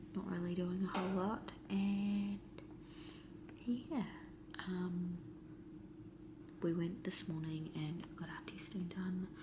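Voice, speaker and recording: With audible room echo, a woman speaks very slowly at a fairly low pitch, with lively intonation and long, frequent pauses. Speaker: vlogger. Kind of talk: casual vlog talk. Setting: quarantine hotel room. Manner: soft-spoken.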